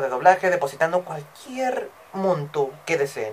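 A man speaks at a moderate pace with very wide pitch swings over light background noise. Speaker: aspiring voice actor. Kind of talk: casual vlog chat. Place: home room. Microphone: webcam.

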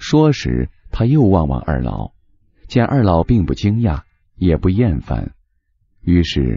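A man speaks at a very slow pace. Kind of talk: audiobook reading of a novel. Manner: measured, unhurried storyteller's pace, lyrical and gently even.

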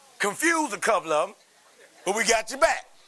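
A man uses a raised, projected voice at a high pitch. He keeps a moderate pace with very wide pitch swings. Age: 30s. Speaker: pastor. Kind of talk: sermon.

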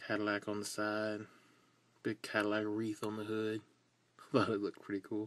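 A man's fairly low, relaxed voice with monotone, flat intonation, a fairly quick pace and long, frequent pauses. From US South. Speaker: toy car customizer. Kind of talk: casual video tutorial. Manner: relaxed, rambling with fillers. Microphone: phone near.

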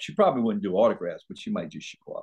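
A man speaks with an American accent. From New Orleans, Louisiana. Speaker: actor. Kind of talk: casual interview. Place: home room. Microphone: video call.

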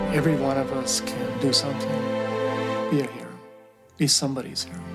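A man rattles off his words very quickly while loud music plays behind him. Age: 50s. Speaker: marathon runner. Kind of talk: interview answer. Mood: reflective, earnest.

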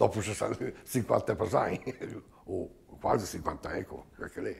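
Dark, mellow tone and a somewhat breathy quality in a man's voice. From Trentino, Giudicarie (Italy); Trentino. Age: 70s. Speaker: knife grinder emigrant. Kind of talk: interview testimony. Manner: halting. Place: home room.

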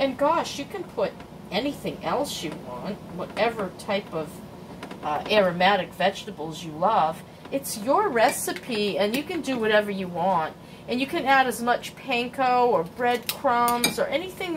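Fairly slow speech with noticeable background noise. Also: woman. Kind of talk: casual cooking tutorial chat. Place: kitchen. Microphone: phone near.

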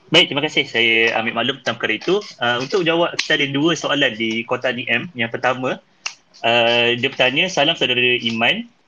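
A man talks at a fairly quick pace in an ordinary speaking voice, with medium pitch and ordinary pitch variation. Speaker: podcast host. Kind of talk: casual chat.

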